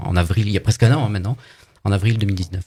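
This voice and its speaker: A somewhat breathy male voice with a fairly low pitch. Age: 60s. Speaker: political activist. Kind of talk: live radio interview. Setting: studio.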